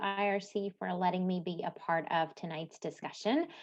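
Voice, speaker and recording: A woman is speaking. She has a slight Midwestern US accent. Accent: very light, Midwest-sounding. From Latvia, Cēsis. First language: Latvian. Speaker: nonprofit manager, language presenter. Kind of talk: presentation. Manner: hesitant, many fillers.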